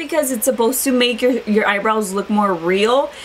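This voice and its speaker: A woman speaks at a fairly quick pace with a high pitch and lively intonation. Noticeable background noise sits behind her. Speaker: beauty vlogger. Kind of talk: casual product review. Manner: fast.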